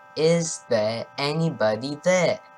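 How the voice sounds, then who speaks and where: Lively intonation over music in the background. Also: man. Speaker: storyteller. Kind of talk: gothic poem reading.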